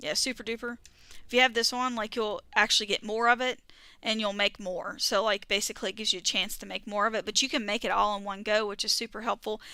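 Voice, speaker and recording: A woman talks very fast in a strong Southern US accent, at a fairly high pitch with fairly even intonation. Her tone is bright and sharp, on a very clean recording with a silent background. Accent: thick southern. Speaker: gaming streamer. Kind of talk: casual chat. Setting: live stream. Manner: words run together.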